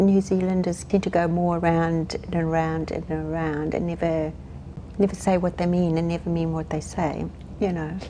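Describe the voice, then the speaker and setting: Over noticeable background noise, a woman with a South African accent speaks at a moderate pace in a fairly low, monotone voice with flat intonation. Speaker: hospice counsellor. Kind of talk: interview. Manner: halting.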